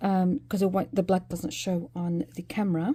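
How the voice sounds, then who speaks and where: A woman talks fairly quickly in a medium pitch. Her tone is dark and mellow, and somewhat breathy. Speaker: crochet tutor. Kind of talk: tutorial. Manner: hesitant with many fillers.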